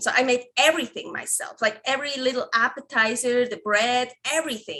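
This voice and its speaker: A woman's high, bright, sharp voice with a non-native accent, at a moderate pace with ordinary pitch variation. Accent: foreign. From Switzerland. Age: 30s. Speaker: carnivore recipe developer. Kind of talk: podcast interview. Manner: halting, many restarts and fillers.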